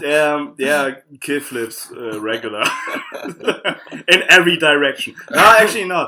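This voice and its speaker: A man with a German accent, fairly high in pitch, at a fairly slow pace and with lively intonation. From southern Germany, Karlsruhe. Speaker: fingerboarder. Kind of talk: casual podcast interview. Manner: halting.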